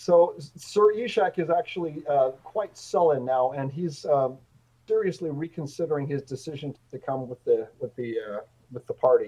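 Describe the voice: At a moderate pace, a man talks with a fairly high pitch and a dark, mellow tone. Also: ordinary pitch variation.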